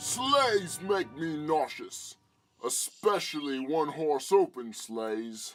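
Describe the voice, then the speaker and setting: Putting on a character voice, a man cackles at a fairly high pitch with very wide pitch swings. He speaks at a very slow pace. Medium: audio drama. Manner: boastful, cackling.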